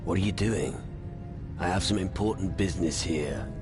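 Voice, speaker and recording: A man uses a put-on character voice, pitched very deep and low, at a moderate pace. Loud music plays in the background. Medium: video game. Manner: gruff, blunt.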